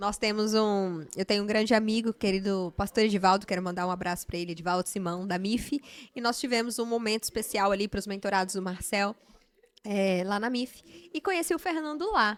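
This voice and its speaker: A woman with a plain, everyday voice, fairly quick in pace, ordinary pitch variation, on a very clean recording with a silent background. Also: medium pitch for a woman. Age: 30s. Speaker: podcast host. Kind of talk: interview. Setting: live event.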